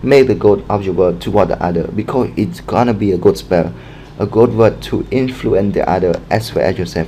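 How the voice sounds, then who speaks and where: A fairly low-pitched man at a fairly quick pace, with ordinary pitch variation and noticeable background noise. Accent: non-native. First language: not English. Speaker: book recommendation vlogger. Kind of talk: casual monologue, book review. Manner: halting, many fillers.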